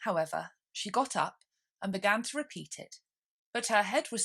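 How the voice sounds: A natural reading voice sounds against a quiet background.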